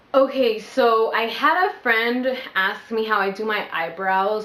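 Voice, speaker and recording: A woman's fairly high-pitched voice amid audible room echo. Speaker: vlogger. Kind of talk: casual vlog Q&A. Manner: animated.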